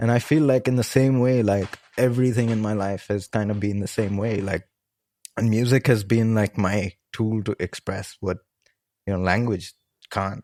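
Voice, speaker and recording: At a moderate pace, a man with a fairly low pitch and a dark, mellow tone is heard in a very clean, dry, close recording with no echo and a silent background. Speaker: music producer and film composer. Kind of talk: podcast interview. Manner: casual, many fillers.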